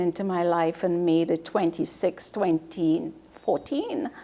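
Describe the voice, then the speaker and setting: Background noise is noticeable throughout. A woman talks fairly slowly. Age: 60s. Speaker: author. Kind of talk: interview.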